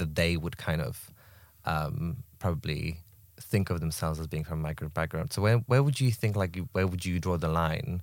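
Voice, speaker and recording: A man speaks in a very deep, low voice. His pitch varies in an ordinary way. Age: 20s. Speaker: collective member, podcast guest. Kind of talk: casual chat.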